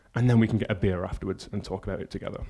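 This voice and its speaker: Speaking in a Yorkshire accent, a man with a dark, mellow tone keeps his intonation monotone and flat. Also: very clean recording, silent background. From northern England, Yorkshire. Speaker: conference speaker, front-end consultant. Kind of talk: conference talk. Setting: stage with audience. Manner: casual, filler-heavy.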